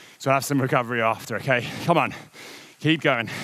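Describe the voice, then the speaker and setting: A man talks with ordinary pitch variation in a dry sound with no echo. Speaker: indoor cycling coach. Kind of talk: workout coaching instructions. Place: studio. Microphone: lapel.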